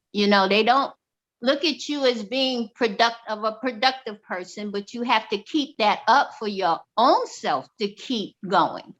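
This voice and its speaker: On a very clean recording with a silent background, a woman with a plain, everyday voice speaks fairly slowly at a fairly high pitch, with ordinary pitch variation. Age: 60s. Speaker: discussion group member. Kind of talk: casual discussion.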